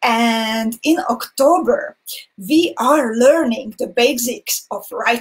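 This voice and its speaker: A woman speaks very slowly with a non-native accent. Her intonation is lively. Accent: non-native English, weird pronunciation. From Hungarian minority in Slovakia. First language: Hungarian. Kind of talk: live-streamed craft tutorial.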